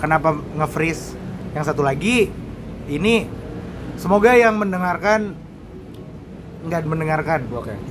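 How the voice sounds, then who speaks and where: With audible room echo and noticeable background noise, a man talks at a moderate pace in a fairly high pitch, his intonation lively, his loudness swinging widely and his speech broken by long, frequent pauses. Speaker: podcast co-host. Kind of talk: casual chat.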